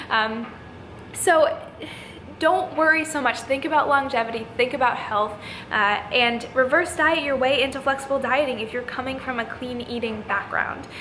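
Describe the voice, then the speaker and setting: Amid noticeable background noise and audible room echo, a woman projects a raised voice at a high pitch, speaking at a moderate pace with ordinary pitch variation. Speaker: fitness youtuber and coach. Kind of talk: casual vlog talk to camera.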